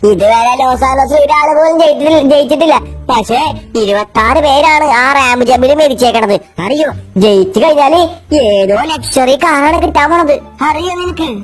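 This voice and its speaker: Over clear background music, a woman puts on a high-pitched character voice and talks at a moderate pace. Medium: machinima.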